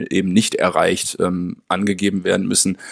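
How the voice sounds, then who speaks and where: The recording sounds dry and close, with no echo. A man does the talking. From Münster, western Germany. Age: 30s. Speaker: special-needs educator and researcher. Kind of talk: interview. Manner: hesitant, many fillers.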